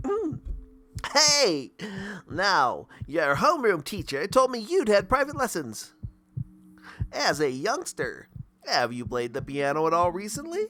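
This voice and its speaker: A man puts on a high-pitched character voice with very wide pitch swings. He talks at a fairly slow pace with long, frequent pauses. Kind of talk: friendly, upbeat. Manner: chipper.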